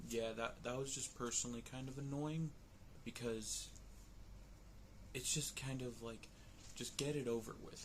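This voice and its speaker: Quiet and somewhat breathy, a man of medium pitch speaks at a moderate pace in monotone, flat intonation, with long, frequent pauses and audible room echo. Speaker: vlogger reviewing movies. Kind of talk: casual vlog commentary. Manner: quiet, lowered voice.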